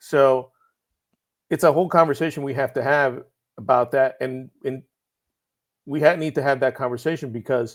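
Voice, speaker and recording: A man's medium-pitched voice with fairly even intonation and a slight Puerto Rican accent. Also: very clean recording, silent background. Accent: slight Puerto Rican accent, barely noticeable. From Puerto Rico. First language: Spanish. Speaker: writer. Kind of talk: podcast interview.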